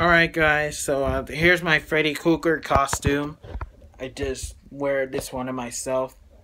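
A man talks at a fairly slow pace with fairly even intonation. Noticeable background noise runs under his voice. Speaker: costume show-and-tell vlogger. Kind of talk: casual vlog chat. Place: home room. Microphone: phone near.

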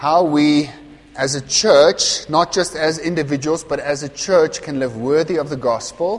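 The man speaks at a fairly slow pace. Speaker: pastor. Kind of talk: sermon. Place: church. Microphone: lapel.

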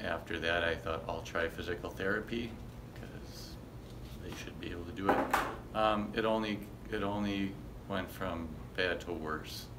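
Soft-spoken at a moderate pace with ordinary pitch variation, the speaker is heard over loud background noise. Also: man, very deep, low pitch for a man. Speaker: chiropractic clinic patient giving a testimonial. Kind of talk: testimonial interview answer. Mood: soft spoken, grateful. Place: office. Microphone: phone near.

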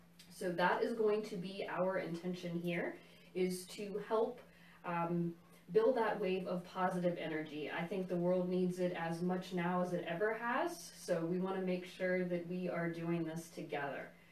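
A woman at a fairly slow pace, with audible room echo. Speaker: tai chi instructor. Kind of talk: guided class instruction. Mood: calm, warm. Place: home room. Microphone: camera far.

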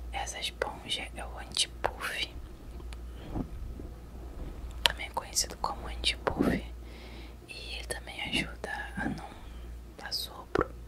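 A soft-spoken woman whispers at a very slow pace, leaving long, frequent pauses. Loud background noise runs behind her. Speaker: ASMR creator. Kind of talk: casual tutorial chat, soft-spoken. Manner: soft close-mic ASMR whisper. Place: home room. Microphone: studio mic.

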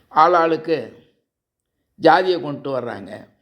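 This man's voice sits fairly high in pitch. It carries vocal fry. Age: 70s. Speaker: social commentator. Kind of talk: political monologue to camera.

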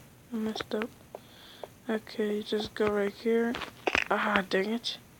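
A woman's fairly high, monotone, flat voice at a fairly slow pace, with noticeable background noise. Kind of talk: casual gameplay tutorial narration. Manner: casual, informal.

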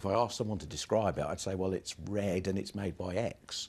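A man talks at a fairly quick pace in a very deep, low voice. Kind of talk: interview answer. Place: office.

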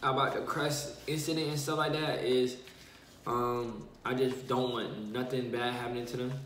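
A man speaks at a fairly slow pace with fairly even intonation, with audible room echo and light background noise. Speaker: vlogger. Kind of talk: casual vlog chat, mukbang. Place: home room. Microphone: phone near.

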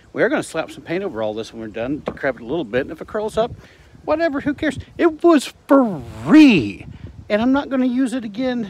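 Over light background noise, a man talks at a fairly quick pace with very wide pitch swings and big swings in loudness, the sound dry with no echo. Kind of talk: casual vlog chat. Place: garden. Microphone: phone near.

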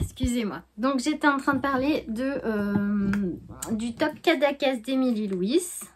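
High-pitched speech from a woman at a very slow pace, with ordinary pitch variation over noticeable background noise. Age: 40s. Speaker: knitting and sewing vlogger; sewing vlogger. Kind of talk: casual vlog chat. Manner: hesitant, many fillers. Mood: warm, cheerful. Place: home room. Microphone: phone near.

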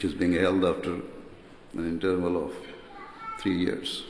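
A man speaks at a very slow pace with audible room echo and light background noise. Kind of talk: formal keynote speech. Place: hall. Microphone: podium.

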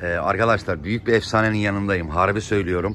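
A man talks at a moderate pace with ordinary pitch variation, the sound dry and echo-free over light background noise. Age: 50s. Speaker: pigeon fancier vlogger. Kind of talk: casual vlog narration. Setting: outdoors on a rooftop loft. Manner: animated. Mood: enthusiastic. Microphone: phone near.

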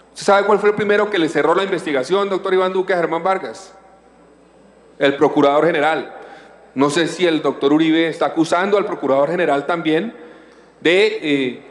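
Audible room echo surrounds a man who talks at a fairly quick pace with a high pitch and ordinary pitch variation. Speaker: senator. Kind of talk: parliamentary debate speech. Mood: combative, rebutting accusations. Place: hall. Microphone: podium.

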